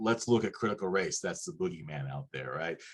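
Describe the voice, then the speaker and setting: The speaker is a man. His voice carries vocal fry. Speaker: panel expert on critical race theory. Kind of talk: educational panel discussion.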